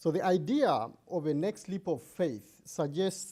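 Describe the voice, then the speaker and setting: Lively intonation and a dark, mellow tone come through in a voice with a non-native accent. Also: man. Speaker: democracy activist and fellow. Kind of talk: presentation.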